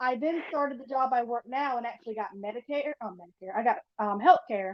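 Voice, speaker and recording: A woman with an American accent, fairly high in pitch, at a fairly quick pace with ordinary pitch variation. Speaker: podcast guest. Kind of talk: interview. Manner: fast.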